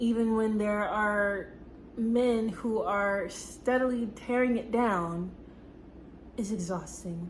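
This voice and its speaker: Speaking very slowly, a woman uses a fairly high pitch and a somewhat breathy voice. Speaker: works with seniors. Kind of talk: casual talk to camera.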